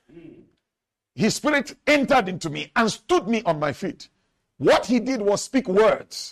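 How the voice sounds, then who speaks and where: Speaking fairly slowly with long, frequent pauses, a man uses an extremely high pitch and very wide pitch swings. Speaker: pastor. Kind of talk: sermon. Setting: church. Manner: animated; call-and-response.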